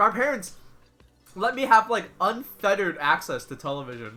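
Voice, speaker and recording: A man's raised, projected voice with an American accent and very wide pitch swings, music in the background. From grew up in US from age five (Chinese immigrant). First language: Chinese. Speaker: video game streamer. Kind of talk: casual live-stream chat.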